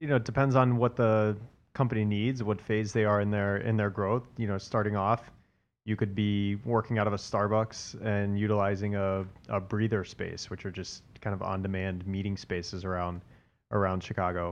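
An unremarkable speaking voice: a man with an American accent, fairly low pitch, fairly even intonation and a moderate pace. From US South, Atlanta. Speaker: commercial real estate broker. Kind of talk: casual interview.

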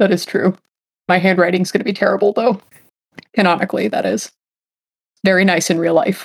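Pausing long and often, a woman talks at a fairly quick pace with a medium pitch and fairly even intonation. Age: 20s. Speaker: role-playing game player. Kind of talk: tabletop role-play session.

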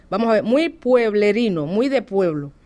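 A woman with a Cuban accent speaks at a fairly slow pace in a fairly high pitch, her intonation lively, on a very clean recording with a silent background. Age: 40s. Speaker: Cuban immigrant interviewee. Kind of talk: interview. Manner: animated.

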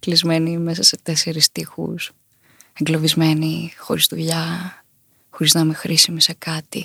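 In a dry, close sound with no echo, a woman speaks at a moderate pace in a fairly low, somewhat breathy voice. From Crete, Chania. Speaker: singer. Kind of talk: interview. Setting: studio.

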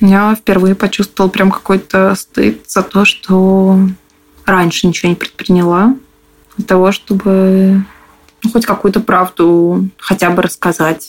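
At a very slow pace, a woman speaks in a flat monotone at medium pitch, keeping her loudness very even and leaving long, frequent pauses. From Moscow. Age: 20s. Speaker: interviewee, abuse survivor. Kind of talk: personal testimony.

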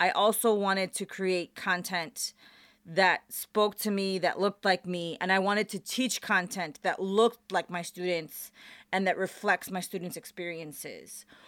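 On a very clean recording with a silent background and a dry, close sound with no echo, a woman of medium pitch speaks at a moderate pace with fairly even intonation. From Chicago, US Midwest. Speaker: professor. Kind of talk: interview. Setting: radio studio.

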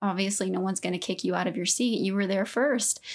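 A woman's unremarkable speaking voice, medium in pitch, with ordinary pitch variation and an American accent, on a very clean recording with a silent background. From Southeast Texas. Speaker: podcast co-host. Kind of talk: casual chat.

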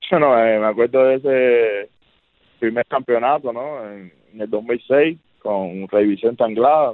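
A man talks at a fairly slow pace in a normal speaking voice at medium pitch. His pitch varies in an ordinary way, while his loudness swings widely. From Cuba (Havana). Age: 30s. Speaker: professional baseball pitcher. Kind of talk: interview.

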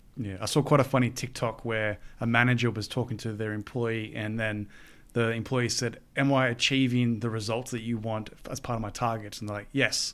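A man's monotone, flat delivery at a moderate pace, in a very clean recording with a silent background. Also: medium pitch for a man. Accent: Australian. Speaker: podcast host. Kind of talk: interview.

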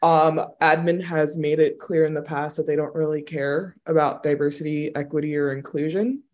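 Speech in an American accent comes at a moderate pace with hardly any pauses. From New York. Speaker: speech-language pathologist. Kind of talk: interview.

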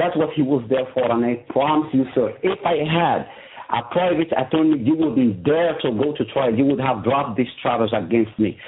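A man's fairly high voice at a moderate pace, with very even loudness, ordinary pitch variation and noticeable background noise. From Morocco. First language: Moroccan Arabic. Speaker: prison inmate. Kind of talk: interview testimony. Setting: phone call. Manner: halting.

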